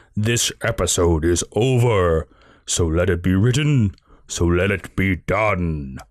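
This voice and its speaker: Against a quiet background, a man puts on a character voice with a very deep, low pitch and a fairly slow pace. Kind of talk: formal, biblical. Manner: grand, ominous, declaring.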